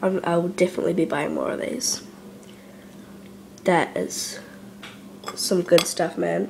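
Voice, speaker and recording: A woman at a fairly slow pace, with light background noise. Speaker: food reviewer. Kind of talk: casual talk to camera, food reaction. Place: kitchen. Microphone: phone near.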